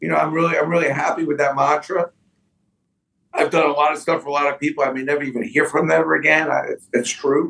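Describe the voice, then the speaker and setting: A fairly high-pitched man with vocal fry and a bright, sharp tone, at a very fast pace. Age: 60s. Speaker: sports memorabilia businessman. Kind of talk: podcast interview. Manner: animated.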